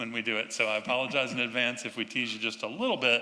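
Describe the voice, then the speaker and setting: A man with a North Carolina accent. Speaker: urban designer. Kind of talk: public talk to audience.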